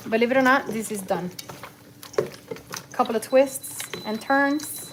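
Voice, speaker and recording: A woman at a moderate pace with ordinary pitch variation, noticeable background noise behind her. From Cuba. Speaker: cooking livestreamer. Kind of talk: live cooking stream chat. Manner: casual, code-switching English and Spanish.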